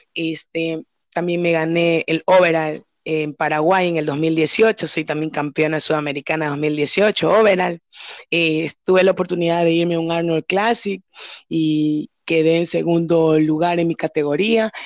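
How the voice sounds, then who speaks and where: A woman's normal speaking voice, fairly low in pitch, at a fairly slow pace with fairly even intonation. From Ecuador, Babahoyo (Los Ríos). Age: 30s. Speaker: professional bodybuilder. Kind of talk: interview.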